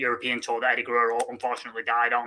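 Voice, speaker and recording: A man with a Mancunian accent speaks at a medium pitch in a bright, sharp tone. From Manchester, England. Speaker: wrestling fan. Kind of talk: interview. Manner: halting, many fillers.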